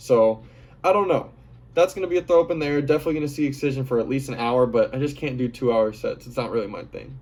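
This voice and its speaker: Here a man talks at a very fast pace. His pitch is fairly high, with ordinary variation. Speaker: EDM festival vlogger. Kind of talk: casual monologue. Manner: animated.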